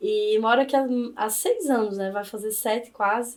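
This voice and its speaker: This is a woman speaking. She talks in a northeastern Brazilian accent. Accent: Northeastern Brazilian accent, noticeable. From Brazilian Northeast, Campina Grande, Paraíba. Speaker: law professor. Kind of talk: podcast interview.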